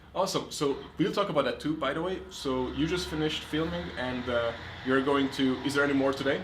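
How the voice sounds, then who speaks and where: A man's fairly high voice with an American accent, lively intonation and a fairly quick pace, plus audible room echo and noticeable background noise. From outside the US. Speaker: podcast host. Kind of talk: interview podcast. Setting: on location in a city.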